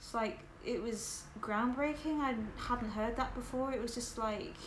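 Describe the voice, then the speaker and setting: A woman's high-pitched voice with a southern English accent, fairly slow pace and ordinary pitch variation, amid noticeable background noise and audible room echo. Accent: sounds southern English. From northern England, West Yorkshire. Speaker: livestreamer. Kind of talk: casual livestream chat with viewers.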